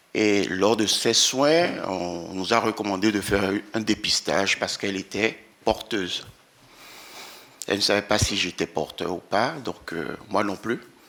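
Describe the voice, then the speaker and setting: This man has a fairly low pitch and a bright, sharp tone. He talks at a fairly slow pace with ordinary pitch variation. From Benin. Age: 60s. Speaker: employee with sickle cell disease giving testimony. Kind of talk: testimony at a round table.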